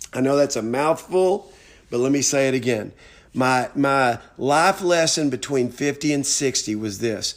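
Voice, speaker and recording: Speaking fairly slowly with an American accent, a man has an unremarkable speaking voice, a fairly high pitch and ordinary pitch variation. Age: 60s. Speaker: motivational speaker. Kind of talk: motivational monologue.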